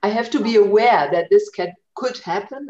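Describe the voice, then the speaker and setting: The pace is moderate. A woman speaks in a German accent. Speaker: language centre coordinator. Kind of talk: casual chat. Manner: halting.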